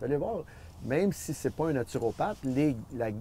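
A man's dark, mellow voice with lively intonation at a moderate pace, over light background noise. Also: dry sound with no echo. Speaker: former athlete and nutrition advocate. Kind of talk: interview answer. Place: garden. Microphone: lapel.

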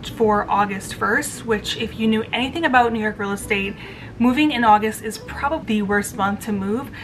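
Over music in the background, the voice moves at a moderate pace. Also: woman, ordinary pitch variation. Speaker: lifestyle vlogger. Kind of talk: casual vlog chat. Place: home room. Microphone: phone near.

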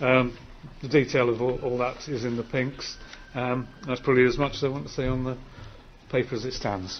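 A man at a medium pitch and moderate pace, fairly even intonation, faint background noise behind him

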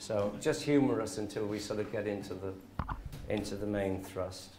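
This man has a fairly low pitch and ordinary pitch variation at a moderate pace. Noticeable background noise runs underneath. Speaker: interviewer. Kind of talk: interview question. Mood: friendly, coaxing. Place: studio.

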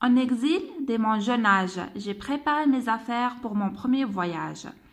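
Her pitch high, a woman speaks with an Algerian accent. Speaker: French teacher. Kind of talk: tutorial.

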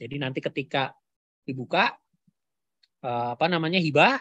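A man's fairly high voice at a moderate pace, with ordinary pitch variation, in a dry recording with no echo and a quiet background. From Central Java, Kebumen; Central Java, Indonesia. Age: 40s. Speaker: university lecturer. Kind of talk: webinar lecture. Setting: video call. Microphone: video call.

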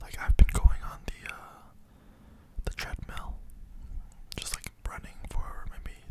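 A soft-spoken man whispering at a fairly slow pace amid loud background noise. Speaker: content creator. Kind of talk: casual ASMR-style vlog chat. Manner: soft close-mic ASMR whisper. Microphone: studio mic.

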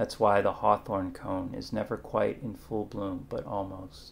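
A man speaks quietly at a very slow pace, with fairly low pitch and fairly even intonation. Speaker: poet. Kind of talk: poetry reading. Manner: measured, hushed, contemplative; formal, warm. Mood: warm, animated, smiling. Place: kitchen. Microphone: webcam.

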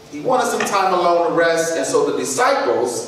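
A man's lively intonation at a moderate pace, with strong room echo and light background noise. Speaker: presenter. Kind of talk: sermon-style talk. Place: church. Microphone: camera far.

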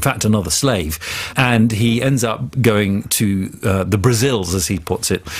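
A man with an English accent speaks at a medium pitch and moderate pace, somewhat breathy, with lively intonation. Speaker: journalist. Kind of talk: interview. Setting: studio.

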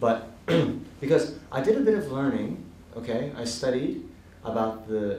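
With an American accent and ordinary pitch variation, a man speaks in a room with audible echo and light background noise. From Hawaii, USA. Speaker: Buddhist monk and teacher. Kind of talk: Dharma talk to a live audience. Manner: casual, humorous. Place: hall.

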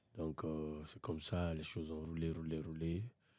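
A man speaks with a very deep, low pitch and a dark, mellow tone. His pace is moderate, and the sound is dry, with no echo. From Guinea, Conakry. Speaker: rapper. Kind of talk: casual chat. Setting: studio. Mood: relaxed storytelling. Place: studio. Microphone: studio mic.

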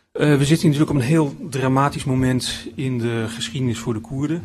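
Somewhat breathy, a man talks at a fairly quick pace over light background noise. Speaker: philosophy lecturer. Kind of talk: lecture. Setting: stage with audience. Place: hall. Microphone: podium.

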